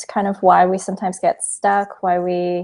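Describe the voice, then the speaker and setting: A woman with a Canadian accent, medium in pitch, dark and mellow in tone, at a moderate pace. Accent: Canadian, noticeable to British listeners. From Canada. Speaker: psychologist and film producer. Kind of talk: interview conversation.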